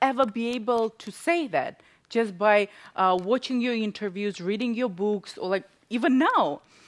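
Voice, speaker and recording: A woman with a non-native accent speaks at a fairly slow pace. Her fairly high voice has lively intonation. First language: not English. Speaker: talk show host. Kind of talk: interview.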